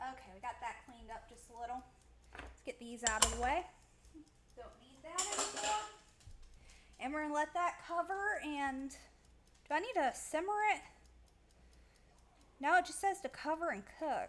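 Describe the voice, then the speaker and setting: A woman's high voice at a moderate pace, with lively intonation, big swings in loudness, long and frequent pauses, and noticeable background noise. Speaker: vtuber streamer cooking on stream. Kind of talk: casual cooking livestream chat.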